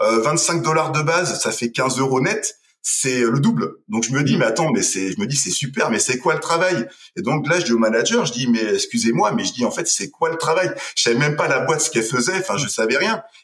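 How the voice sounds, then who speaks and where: Noticeable background noise sits behind a man who talks at a fairly quick pace with a fairly high pitch and very wide pitch swings. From western France, Deux-Sèvres. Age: 30s. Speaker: entrepreneur. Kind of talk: casual interview.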